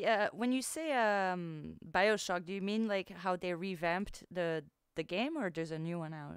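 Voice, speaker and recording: With a French accent and medium pitch, a woman talks at a fairly slow pace with ordinary pitch variation in a very clean recording with a silent background. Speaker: livestreamer. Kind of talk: casual chat. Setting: livestream.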